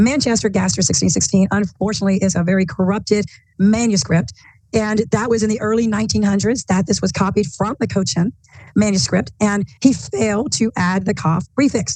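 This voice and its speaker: A dark, mellow tone with vocal fry moves along at a fairly quick pace. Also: woman, medium pitch for a woman, ordinary pitch variation. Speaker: bible teacher. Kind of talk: bible study discussion.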